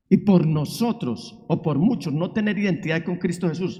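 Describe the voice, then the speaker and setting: A man's dark, mellow tone, high in pitch, at a fairly slow pace with audible room echo. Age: 60s. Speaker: pastor. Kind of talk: sermon. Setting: church. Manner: emphatic preaching.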